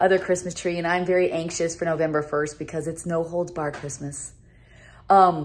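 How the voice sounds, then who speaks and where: A woman speaks in a fairly low pitch with monotone, flat intonation. Light background noise sits behind her. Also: moderate pace. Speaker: vlogger. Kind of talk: casual vlog chat. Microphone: phone near.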